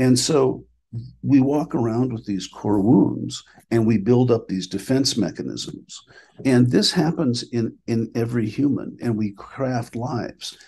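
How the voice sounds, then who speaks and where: A man's medium-pitched voice with an American accent, dark and mellow in tone, with vocal fry, ordinary pitch variation and a fairly slow pace. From Minnesota, US Upper Midwest. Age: 60s. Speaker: clinical director and spiritual teacher. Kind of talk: podcast interview.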